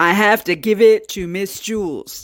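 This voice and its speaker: A fairly high-pitched, put-on character voice at a moderate pace, on a very clean recording with a silent background. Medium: read story.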